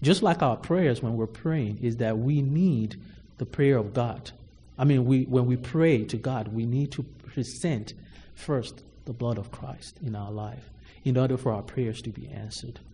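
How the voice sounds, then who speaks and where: Somewhat breathy, a man with a medium pitch and ordinary pitch variation speaks at a fairly slow pace. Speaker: preacher. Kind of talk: sermon. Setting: church. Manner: formal.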